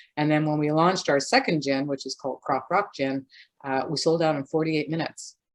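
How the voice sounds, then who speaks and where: In a Canadian accent, a woman with a very deep, low pitch speaks at a fairly quick pace, her intonation fairly even. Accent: non-Scottish, Canadian. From Canada. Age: old. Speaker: gin distiller, business owner. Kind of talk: interview.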